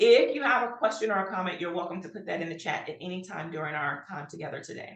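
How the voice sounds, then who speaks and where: A woman rattles along at a very fast pace with hardly any pauses. Her medium-pitched voice has lively intonation and big swings in loudness. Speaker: health workforce trainer. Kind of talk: webinar presentation.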